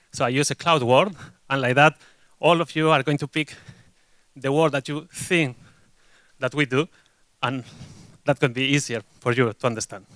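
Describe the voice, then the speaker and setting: A Spanish accent at a moderate pace, with fairly even intonation, long, frequent pauses and a dry, close sound with no echo. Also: man, fairly high pitch for a man. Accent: Spanish accent, noticeable. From Spain. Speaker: agile delivery consultant, conference speaker. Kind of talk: conference talk. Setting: stage with audience.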